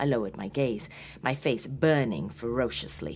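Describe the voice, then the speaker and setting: Speech comes at a moderate pace over light background noise. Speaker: horror story narrator. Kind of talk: dramatic story narration.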